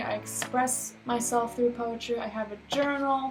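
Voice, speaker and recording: Noticeable background noise behind a woman speaking in a high pitch. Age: 20s. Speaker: vlogger. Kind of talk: casual chat. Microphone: poor webcam.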